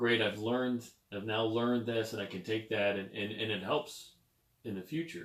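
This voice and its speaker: A plain, everyday voice is heard here. The delivery keeps a moderate pace and fairly even intonation. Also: man. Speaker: podcast host. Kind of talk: podcast interview host talk.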